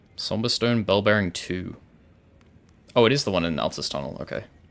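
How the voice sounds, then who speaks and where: Vocal fry and lively intonation from a man. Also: long, frequent pauses. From Wales. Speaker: gaming streamer. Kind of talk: live gameplay stream chat. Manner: soft-spoken; casual, filler-heavy.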